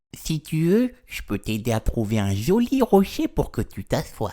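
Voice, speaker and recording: Pitched in the middle range, the speaker uses a put-on character voice. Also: moderate pace. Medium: read story.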